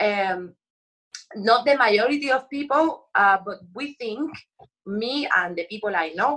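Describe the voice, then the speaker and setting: A woman with a Puerto Rican accent speaks at a fairly slow pace in a passionate, bright, sharp tone with lively intonation. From Puerto Rico. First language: Spanish. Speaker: actress. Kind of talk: interview.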